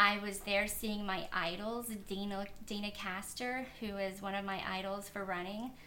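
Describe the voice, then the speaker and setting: Audible room echo and noticeable background noise surround a woman speaking at a fairly slow pace in a medium pitch with a flat, monotone delivery. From Kentucky. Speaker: elite marathon runner. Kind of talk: interview.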